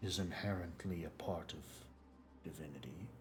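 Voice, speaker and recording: A man puts on a character voice with a very deep, low pitch. He speaks at a moderate pace over clear background noise. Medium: actual play. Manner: measured, formal, cryptic.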